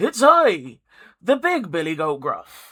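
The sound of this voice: A man puts on a hoarse character voice, pitched high. He speaks fairly slowly, with very wide pitch swings.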